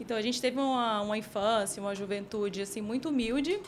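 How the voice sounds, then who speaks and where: A woman with an unremarkable speaking voice talks at a fairly high pitch with lively intonation. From Piauí, northeastern Brazil (Teresina). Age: 30s. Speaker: team manager. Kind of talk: interview testimony.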